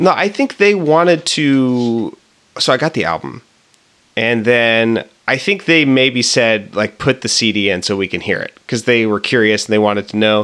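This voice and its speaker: A man talks at a moderate pace with lively intonation and a medium pitch. It is an ordinary speaking voice. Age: 20s. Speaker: podcast co-host. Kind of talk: casual chat.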